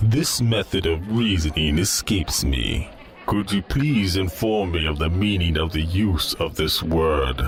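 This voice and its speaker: A man puts on a character voice with a very deep, low pitch, speaking at a fairly slow pace. Clear music plays in the background. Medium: audio drama. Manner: formal, stilted, literal.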